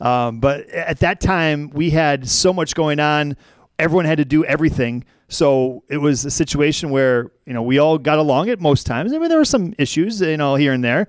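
With an unremarkable speaking voice, a man talks at a moderate pace, his pitch fairly high with ordinary pitch variation, in a very clean recording with a silent background. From Wisconsin. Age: 40s. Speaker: former radio program director. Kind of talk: casual chat.

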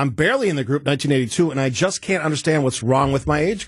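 Against a quiet background, a man with a fairly high pitch speaks at a very fast pace, somewhat breathy. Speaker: radio host. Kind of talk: casual chat. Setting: studio.

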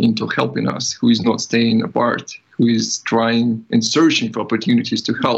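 A man with a Ukrainian accent. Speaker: IT developer. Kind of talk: interview.

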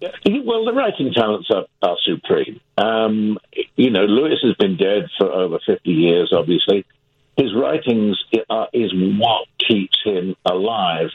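A man with a British accent at a fairly slow pace. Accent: British-sounding. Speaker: actor and playwright. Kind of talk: radio interview. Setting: studio.

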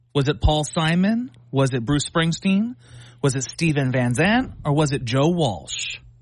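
A man speaks with an American accent in a fairly high, somewhat breathy voice. His pitch swings very widely at a fairly slow pace. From Philadelphia. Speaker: comedian. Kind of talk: trivia quiz hosting.

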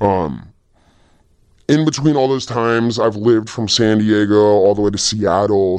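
With a Californian accent, a man talks at a moderate pace and a fairly low pitch. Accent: Californian American. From Los Angeles, US West Coast. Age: 20s. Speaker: graffiti artist and muralist. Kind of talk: casual interview.

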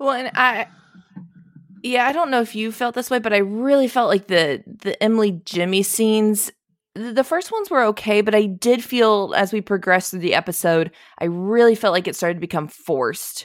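A woman talks at a moderate pace in an ordinary speaking voice, her fairly high pitch carried by lively intonation. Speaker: podcast co-host. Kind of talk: casual chat.

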